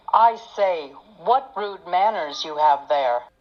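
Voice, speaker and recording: Putting on a character voice, a woman speaks at a fairly slow pace and a medium pitch, with very wide pitch swings. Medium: dub.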